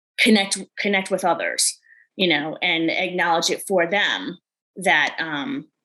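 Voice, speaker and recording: A bright, sharp tone comes through in a New York accent, at a moderate pace with ordinary pitch variation. The background is quiet. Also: woman. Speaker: life coach. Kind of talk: podcast interview.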